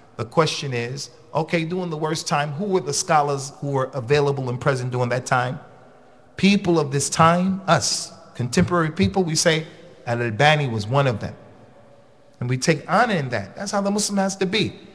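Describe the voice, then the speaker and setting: A man's lively intonation comes at a fairly quick pace. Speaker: religious teacher. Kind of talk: lecture. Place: hall. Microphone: podium.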